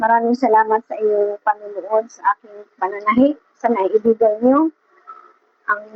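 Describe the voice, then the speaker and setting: Soft-spoken, a woman talks in a fairly high pitch at a fairly slow pace. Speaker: seamstress vlogger. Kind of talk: casual vlog talk. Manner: halting.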